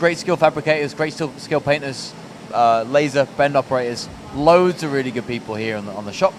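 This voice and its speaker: A man with a fairly high voice and ordinary pitch variation talks fairly quickly over noticeable background noise. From northern England, Rotherham, Yorkshire. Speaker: podcast host. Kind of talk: interview. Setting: factory floor.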